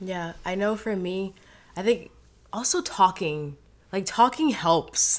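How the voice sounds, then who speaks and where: A woman speaks at a very slow pace with long, frequent pauses. Her medium pitch shows ordinary variation. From Haiti. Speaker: guest. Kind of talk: casual chat; testimony. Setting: studio.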